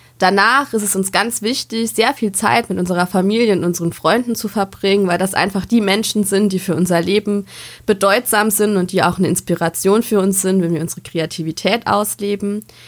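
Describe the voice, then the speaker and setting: A woman's normal speaking voice at medium pitch, fairly quick with hardly any pauses and ordinary pitch variation. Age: 20s. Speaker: podcast co-host, educator and social work student. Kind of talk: scripted podcast intro.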